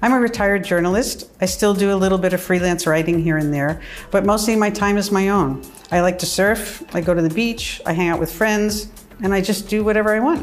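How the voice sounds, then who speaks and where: In an American accent, a woman of medium pitch talks fairly quickly with ordinary pitch variation and very even loudness, amid audible room echo and noticeable background noise. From US (New York, California). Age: 60s. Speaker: retired journalist. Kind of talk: personal testimony interview. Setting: in her apartment.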